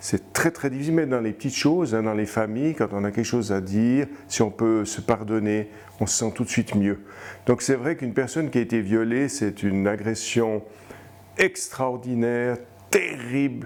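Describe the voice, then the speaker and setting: A man speaks at a moderate pace and a medium pitch. His pitch varies in an ordinary way. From Switzerland, Fribourg. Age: 60s. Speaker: abuse survivor, retired librarian. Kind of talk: testimony. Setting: interview. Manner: halting, with hesitations and repetitions.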